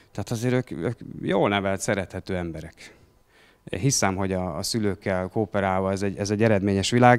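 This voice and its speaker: A very fast pace against a quiet background. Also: man. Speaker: school principal; speaker. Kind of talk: panel discussion. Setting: stage with audience. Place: cafe. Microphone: handheld.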